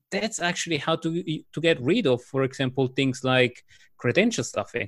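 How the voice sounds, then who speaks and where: This man talks at a fairly quick pace with lively intonation. He has an Italian accent. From Italy. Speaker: cybersecurity executive. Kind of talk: casual interview.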